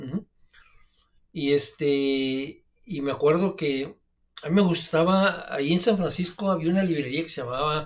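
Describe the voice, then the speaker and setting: A man with a northern Mexican accent speaks at a fairly slow pace in a relaxed tone. His voice sits fairly high in pitch and shows ordinary variation. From Mexico, Mexicali (northern border). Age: 50s. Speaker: alternative health adviser, channel host. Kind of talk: casual storytelling monologue. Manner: relaxed, with many fillers and hesitations.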